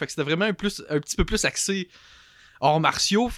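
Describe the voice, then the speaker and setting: A man talks at a very fast pace with ordinary pitch variation, the sound dry and close with no echo on a very clean recording with a silent background. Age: 20s. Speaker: larp player. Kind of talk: casual chat.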